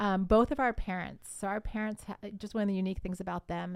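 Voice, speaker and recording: A plain, everyday voice from a woman at medium pitch, with an American accent. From Columbus, Ohio. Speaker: marriage podcaster. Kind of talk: casual interview.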